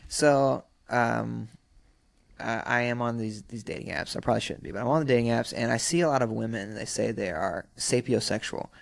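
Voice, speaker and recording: A plain, everyday voice with an American accent, a fairly quick pace and ordinary pitch variation, on a very clean recording with a silent background. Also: man, medium pitch for a man. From US South, South Carolina (Sumter). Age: 30s. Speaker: rapper and actor. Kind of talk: casual chat. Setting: studio.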